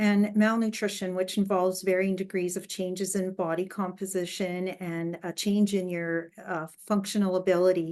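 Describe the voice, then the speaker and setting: A woman speaks at a moderate pace and a medium pitch. Her intonation is monotone and flat, against a quiet background. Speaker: dietitian giving talk. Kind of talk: lecture.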